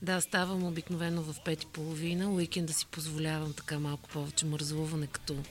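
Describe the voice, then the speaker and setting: Over music in the background, a woman with a very deep, low pitch speaks at a moderate pace with fairly even intonation. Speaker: corporate communications director. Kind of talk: interview.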